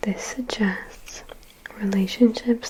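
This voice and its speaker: Over noticeable background noise, a woman whispers at a very slow pace. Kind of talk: soft-spoken ASMR ramble to camera. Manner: soft-spoken, conversational.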